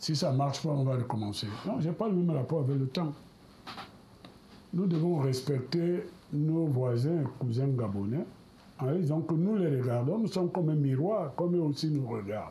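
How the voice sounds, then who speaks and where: A man's fairly high, somewhat breathy voice in a dark, mellow tone, lively intonation and very even loudness, broken by long, frequent pauses. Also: moderate pace. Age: 70s. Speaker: politician. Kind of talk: televised political debate. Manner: hesitant, with fillers.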